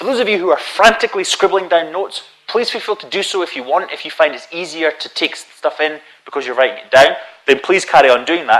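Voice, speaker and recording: With a Scottish accent, a man talks at a very fast pace in a fairly high pitch, his pitch swinging very widely. There is noticeable background noise. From Scotland. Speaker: conference speaker on databases. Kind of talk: technical conference talk.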